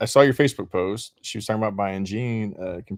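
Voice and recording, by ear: Ordinary pitch variation marks this clip of someone reading aloud in a natural voice.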